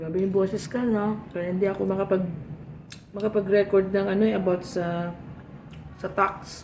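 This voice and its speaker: Amid noticeable background noise, a woman speaks at medium pitch in a monotone, flat way, with long, frequent pauses. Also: moderate pace. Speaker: vlogger. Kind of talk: casual tutorial vlog while eating.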